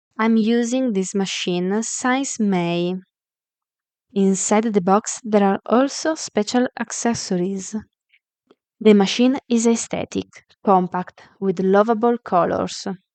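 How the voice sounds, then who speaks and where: With an Italian accent, a woman speaks at a very slow pace with ordinary pitch variation. The sound is dry and close with no echo. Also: medium pitch for a woman. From Italy. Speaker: sewing tutorial creator. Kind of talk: product tutorial. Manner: halting, with fillers.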